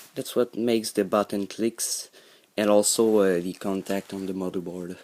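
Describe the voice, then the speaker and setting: Fairly even in intonation, a man with a Quebec accent speaks at a fairly low pitch in a dark, mellow tone. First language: French. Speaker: hobbyist YouTuber. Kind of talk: tutorial. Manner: halting, many fillers.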